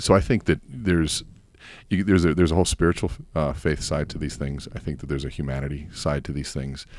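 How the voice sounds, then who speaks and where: A man speaks with vocal fry in a very deep, low pitch with ordinary variation. His pace is fairly quick, though long, frequent pauses break it up. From Cuban-American family. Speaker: coach and course seller. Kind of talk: casual podcast interview.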